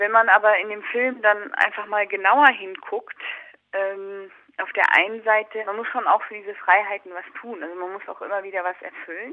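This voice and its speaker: A woman has an ordinary speaking voice at medium pitch and a moderate pace. Her intonation stays fairly even while her loudness swings widely. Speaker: documentary filmmaker. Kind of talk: interview.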